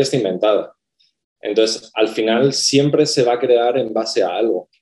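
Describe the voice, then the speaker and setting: A dark, mellow tone marks the man's mid-pitched voice. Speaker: graphic design professor. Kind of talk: casual panel conversation.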